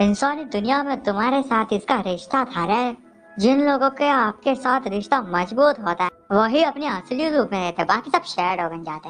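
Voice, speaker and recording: A put-on character voice, female-sounding and fairly high in pitch, over faint music in the background. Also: moderate pace. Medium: fan dub. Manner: grumbling, fussy.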